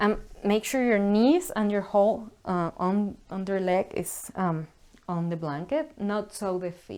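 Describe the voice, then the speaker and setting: A woman speaks at a very slow pace and a medium pitch. The recording is very clean, with a silent background. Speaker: yoga instructor. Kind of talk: guided yoga class. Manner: calm, slow instructions; halting.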